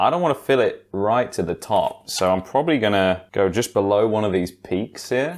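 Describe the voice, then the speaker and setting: With a British accent, a man speaks in a fairly low voice and lively intonation. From England. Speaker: YouTuber and streamer. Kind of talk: casual talk to camera. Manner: casual, chatty.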